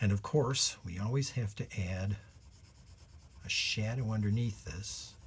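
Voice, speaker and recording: The voice is somewhat breathy and fairly slow, with ordinary pitch variation and long, frequent pauses. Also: man, fairly low pitch for a man. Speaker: illustrator and children's drawing teacher. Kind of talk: tutorial.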